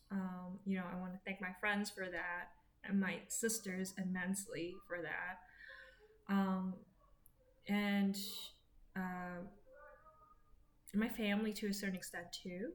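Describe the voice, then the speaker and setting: A woman talks at a very slow pace with long, frequent pauses, her voice somewhat breathy. Her pitch is medium and her intonation monotone and flat. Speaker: vlogger sharing personal health update. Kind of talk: personal vlog monologue. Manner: slow, halting with many fillers.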